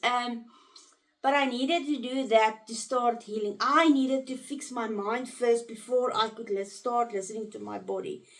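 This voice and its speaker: This woman's high voice, with ordinary pitch variation, moves at a moderate pace. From South Africa. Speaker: trauma recovery coach. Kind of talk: casual talk to camera.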